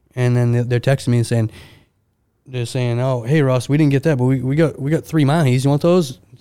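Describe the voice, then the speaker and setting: A dark, mellow tone in an American accent, at a fairly quick pace. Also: man, medium pitch for a man. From Maine, US. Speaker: seafood specialist at a grocery market. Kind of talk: casual interview. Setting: podcast studio. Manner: animated.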